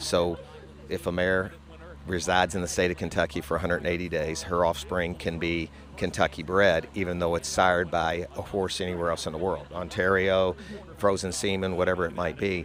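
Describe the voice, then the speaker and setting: In a very deep, low voice, a man talks at a fairly quick pace with monotone, flat intonation. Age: 60s. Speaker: horse farm co-owner. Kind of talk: interview.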